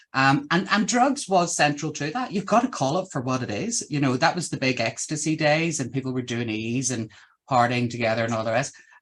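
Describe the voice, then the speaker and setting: Lively intonation and a fairly quick pace mark this voice with a Northern Irish accent. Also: man, fairly high pitch for a man. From Northern Ireland. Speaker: podcast host. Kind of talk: casual interview chat.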